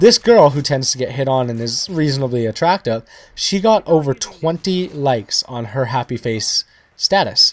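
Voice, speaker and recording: This man's voice sits at a fairly high pitch. His intonation is lively. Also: dry, close sound with no echo. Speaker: gaming YouTuber. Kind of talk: gameplay commentary. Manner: fast.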